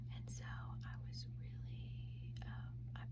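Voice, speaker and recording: A woman's very deep, low voice in a monotone, flat delivery over noticeable background noise. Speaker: mother of four, ASMR creator. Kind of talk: whispered ASMR storytime. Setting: home, recorded to camera. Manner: whispered, soft.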